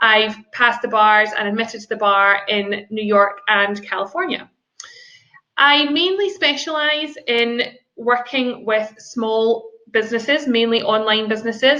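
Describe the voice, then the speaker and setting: Speaking at a fairly slow pace, a woman with a Scottish accent has a fairly high pitch, a bright, sharp tone and ordinary pitch variation. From Scotland. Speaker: business lawyer. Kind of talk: seminar presentation. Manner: formal.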